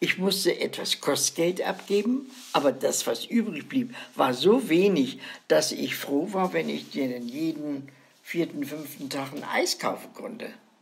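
Speaking at a fairly slow pace, a woman with a fairly low pitch moves through very wide pitch swings over noticeable background noise. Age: 90s. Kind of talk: casual chat.

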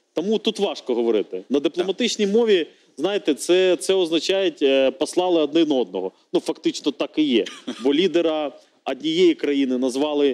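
This man's voice sits fairly high, moving at a moderate pace with lively intonation. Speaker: member of parliament. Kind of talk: TV political debate. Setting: TV studio. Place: studio. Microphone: lapel.

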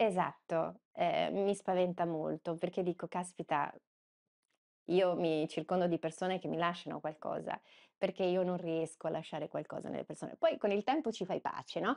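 Woman's fairly low voice with vocal fry, fairly even intonation, and a moderate pace against a quiet background. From Veneto, province of Padua; Veneto. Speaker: journalist. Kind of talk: interview conversation. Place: office. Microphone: lapel.

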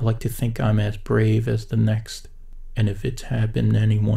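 Reading aloud in a natural voice.

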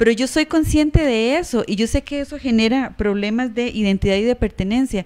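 A woman speaks at a fairly quick pace with hardly any pauses, her high-pitched voice showing ordinary pitch variation over a quiet background. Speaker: university council candidate; council candidate. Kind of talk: campaign presentation. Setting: stage with audience. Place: meeting room. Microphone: handheld.

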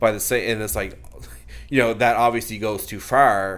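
Vocal fry runs through this man's speech. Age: 30s. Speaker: author. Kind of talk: casual interview.

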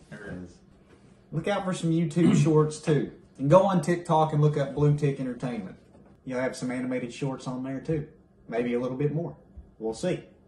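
A man speaks with an American accent, his voice somewhat breathy. His pitch varies in an ordinary way, broken by long, frequent pauses. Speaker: YouTube creator, animator. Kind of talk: casual chat. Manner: animated.

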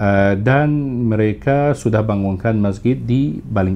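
Over light background noise, a man talks at a fairly slow pace with lively intonation. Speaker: tour operator. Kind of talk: casual interview. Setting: studio. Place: studio. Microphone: studio mic.

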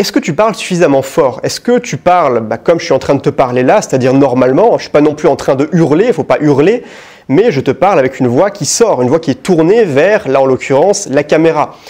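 Fairly high-pitched male voice with lively intonation and a slightly mellow tone. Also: fairly quick pace.

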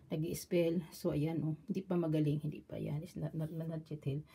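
With light background noise, a woman speaks in a normal speaking voice at a moderate pace and a fairly low pitch. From Philippines. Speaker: vlogger. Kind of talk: product show-and-tell vlog. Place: home room. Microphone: phone near.

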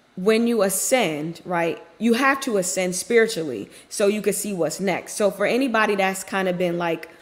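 Speaking at a moderate pace, a woman uses ordinary pitch variation and leaves hardly any pauses. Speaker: faith content creator. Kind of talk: devotional message, casual sermon. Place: office. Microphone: webcam.

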